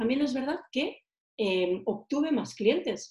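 A woman's somewhat breathy voice, dark and mellow in tone, moves at a fairly slow pace. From Catalonia, Girona. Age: 40s. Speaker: marketing trainer. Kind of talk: interview. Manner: animated.

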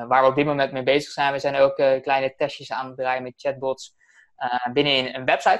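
A man's medium-pitched voice at a fairly quick pace, fairly even in intonation but with big swings in loudness. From Netherlands, Alphen aan den Rijn. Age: 20s. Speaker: messenger marketing entrepreneur. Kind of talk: interview. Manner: fast.

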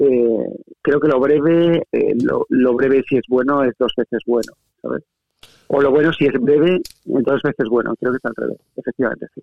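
Speaking at a moderate pace, a man has a plain, everyday voice. His pitch is fairly high, with fairly even intonation. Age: 40s. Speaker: writer. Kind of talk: casual chat.

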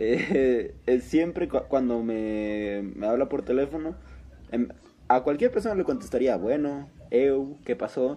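With a Mexican accent, a man speaks at a fairly slow pace in a dark, mellow tone with ordinary pitch variation. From Mexico. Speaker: podcast co-host. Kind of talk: casual chat.

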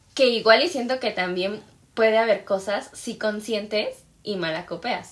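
On a very clean recording with a silent background, a woman with a Mexican accent speaks at a fairly slow pace and fairly high pitch, with ordinary pitch variation. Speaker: podcast co-host. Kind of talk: casual chat.

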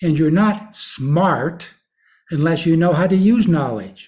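The speaker is a man with a high pitch. He talks at a fairly slow pace. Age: old. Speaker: podcast host, former university president. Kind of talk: solo commentary podcast.

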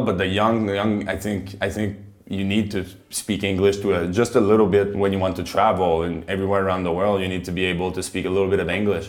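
In a Quebec French accent, a man speaks at a fairly quick pace in a flat monotone with a fairly low pitch, and the room echo is audible. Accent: Canadian (Quebec French). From Quebec, Montreal. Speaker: professional ice hockey player. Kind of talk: casual interview in English.

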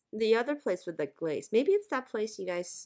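A woman with an American accent has a raspy, hoarse voice and a dark, mellow tone. Her pitch swings very widely. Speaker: podcast host. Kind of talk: casual chat. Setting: video call.

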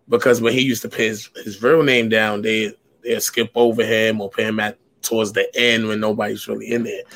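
Speaking fairly quickly, a man with an American accent keeps a monotone, flat intonation. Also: medium pitch for a man. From US Northeast, New York. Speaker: spoken word poet. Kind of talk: casual interview. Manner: aggressive, forceful delivery.

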